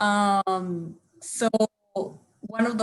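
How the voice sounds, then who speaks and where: A woman with a strong Spanish accent, medium in pitch, with ordinary pitch variation. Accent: thick Spanish. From Costa Rica. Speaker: theatre artist. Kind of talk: roundtable discussion.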